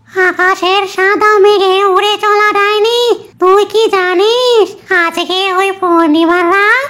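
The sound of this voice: Extremely high, squeaky, female-sounding cartoonish character voice at a fairly slow pace.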